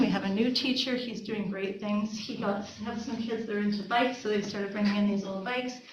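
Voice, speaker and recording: With noticeable background noise and audible room echo, a woman talks at a fairly quick pace, her pitch medium and its variation ordinary. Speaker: school administrator. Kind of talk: report to school board. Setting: board meeting. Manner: fast; animated.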